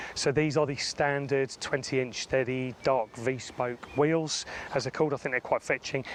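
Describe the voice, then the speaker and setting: A man with a British accent talks at a medium pitch and a fairly quick pace. His intonation is fairly even, and background noise is noticeable. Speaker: car reviewer. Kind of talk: product review walkaround. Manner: casual, frequent fillers.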